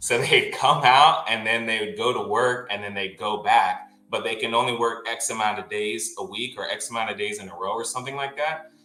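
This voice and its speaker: A man at a fairly quick pace with hardly any pauses, over noticeable background noise. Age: 30s. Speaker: chef, collector podcast guest. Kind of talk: casual chat. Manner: casual, slangy.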